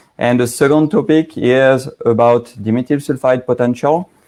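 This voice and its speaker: A man with a strong French accent speaks in a dark, mellow tone with fairly even intonation. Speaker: aroma chemistry expert, company founder. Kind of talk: technical presentation. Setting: live online broadcast.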